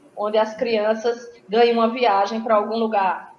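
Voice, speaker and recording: There is audible room echo and noticeable background noise as a woman speaks at a fairly high pitch. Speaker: school director and environmental educator. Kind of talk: conference talk.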